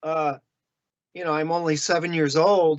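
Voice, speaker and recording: A man's fairly high-pitched voice in a Chicago accent. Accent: Chicago American. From US Midwest, Chicago area. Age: 60s. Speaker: illustrator. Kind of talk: interview.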